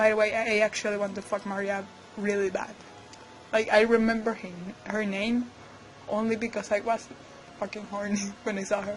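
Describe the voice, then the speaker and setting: A woman's fairly high voice in a Spanish accent, monotone and fairly quick, with long, frequent pauses and noticeable background noise. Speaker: digital artist. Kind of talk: speedpaint voiceover commentary. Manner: casual.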